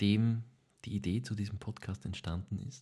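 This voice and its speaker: A man speaks at a moderate pace and a medium pitch, sounding somewhat breathy. The background is quiet. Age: 20s. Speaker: podcast co-host, actor. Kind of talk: casual chat.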